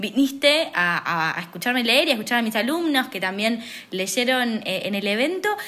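With a Rioplatense accent, a woman talks at a moderate pace and a fairly high pitch. Her intonation is lively, and there is noticeable background noise. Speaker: podcast host and poet. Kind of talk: casual conversation. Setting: recording at brother's house.

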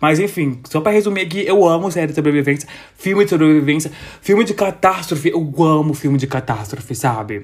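Animated and with lively intonation, a man with a fairly high pitch speaks at a fairly quick pace. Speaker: podcast host. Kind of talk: casual solo monologue. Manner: animated, chatty with frequent laughs.

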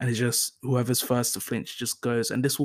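With a London accent, the man speaks at a medium pitch in a monotone, flat intonation. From North London, England. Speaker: solo podcast host. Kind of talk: casual solo monologue. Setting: home recording on laptop. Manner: hesitant, many fillers.

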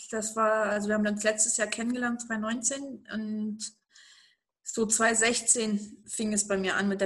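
A woman's voice at medium pitch. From eastern Germany. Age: 30s. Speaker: interview guest. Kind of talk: interview. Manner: animated.

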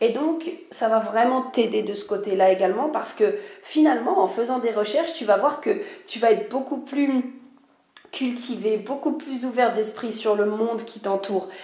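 A woman's voice, with ordinary pitch variation and big swings in loudness, comes through audible room echo and noticeable background noise. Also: fairly high pitch for a woman, moderate pace. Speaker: life and spiritual mentor, podcaster. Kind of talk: solo podcast monologue. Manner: casual, hesitant with many fillers.

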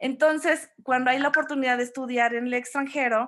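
This is a woman speaking with ordinary pitch variation. The background is quiet. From Mexico, Orizaba, Veracruz. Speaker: graphic designer and event decorator. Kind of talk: interview.

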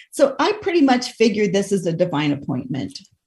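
A somewhat breathy woman with an American accent speaks at a fairly quick pace. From Idaho. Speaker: radio host and life coach. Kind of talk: casual interview chat.

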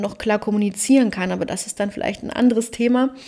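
A woman's plain, everyday voice, fairly high in pitch, at a fairly quick pace. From Germany, Cologne. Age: 30s. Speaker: podcast host and life coach. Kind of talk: solo podcast monologue.

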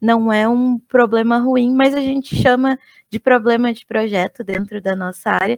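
A woman with an unremarkable speaking voice, fairly high in pitch, with ordinary pitch variation and a dry, close sound with no echo. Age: 30s. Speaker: UX/UI designer. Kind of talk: casual chat.

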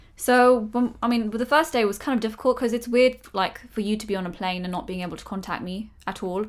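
A woman speaks at a fairly quick pace in a normal speaking voice, pitched fairly high. Her pitch varies in an ordinary way, while her loudness swings widely. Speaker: podcast and YouTube co-host. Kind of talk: casual conversational podcast.

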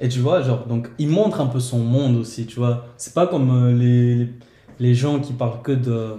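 A man's medium-pitched, somewhat breathy voice with a dark, mellow tone, fairly even intonation, a fairly slow pace and audible room echo. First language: Portuguese (speaking French). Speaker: guest. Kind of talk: casual chat.

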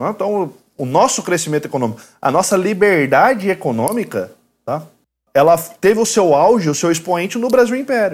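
Very clean and free of background sound, this recording has a man speaking at a moderate pace. His pitch is high with very wide swings. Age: 30s. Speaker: lawyer and university professor. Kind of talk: casual chat.

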